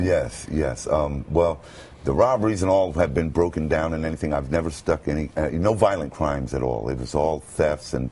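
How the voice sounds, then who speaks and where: A man speaks with an American accent at a moderate pace, his pitch very deep and low. His pitch varies in an ordinary way, with noticeable background noise behind him. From Brooklyn, New York. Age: 50s. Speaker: radio announcer. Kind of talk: interview answer. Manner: hesitant, halting.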